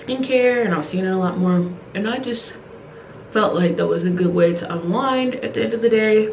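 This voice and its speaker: A woman talks at a fairly quick pace with a medium pitch and ordinary pitch variation, with noticeable background noise and audible room echo. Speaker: beauty vlogger. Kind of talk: casual get-ready-with-me vlog. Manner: fast.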